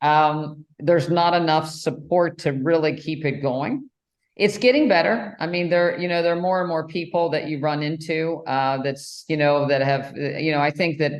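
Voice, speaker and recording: At a moderate pace, a woman with an American accent talks in a very deep, low voice with ordinary pitch variation. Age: 60s. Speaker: podcast host, cardiologist. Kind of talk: interview. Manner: hesitant, many fillers.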